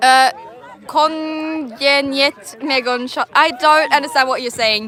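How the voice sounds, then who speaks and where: With a raised, projected voice and a high pitch, a woman speaks at a very slow pace with ordinary pitch variation over noticeable background noise. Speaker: quidditch match commentator. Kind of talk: live commentary. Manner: casual, hesitant.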